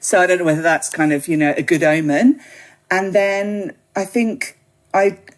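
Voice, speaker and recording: A woman with a British accent talks at a moderate pace and medium pitch with ordinary pitch variation. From UK. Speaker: gin writer and website founder. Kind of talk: podcast interview. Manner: casual, many fillers.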